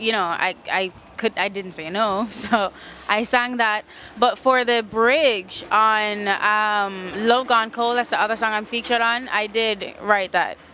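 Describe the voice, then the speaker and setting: A woman speaks with fairly even intonation at a fairly high pitch. Noticeable background noise sits behind her. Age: 20s. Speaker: singer-songwriter. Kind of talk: interview. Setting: music festival. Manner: fast.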